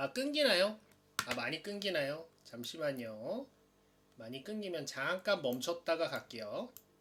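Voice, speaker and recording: Speech comes at a fairly slow pace with noticeable background noise present. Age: 30s. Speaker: hobby tutorial livestreamer. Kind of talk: live-streamed lecture. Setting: live stream. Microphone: stream cutting out, poor internet.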